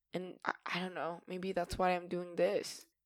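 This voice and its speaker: A woman speaks with a Spanish accent. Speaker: podcaster and actor. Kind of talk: solo casual podcast monologue.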